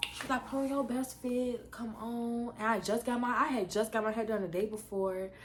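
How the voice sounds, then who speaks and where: Against noticeable background noise, a woman with a fairly high pitch speaks at a moderate pace with hardly any pauses. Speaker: YouTuber. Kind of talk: storytime vlog. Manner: animated.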